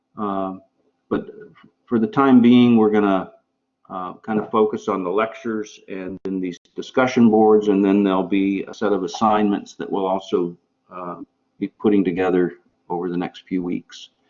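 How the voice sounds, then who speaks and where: Loudness swings widely as a man with a fairly low pitch speaks at a moderate pace with fairly even intonation. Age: 60s. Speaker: professor. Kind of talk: lecture. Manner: halting.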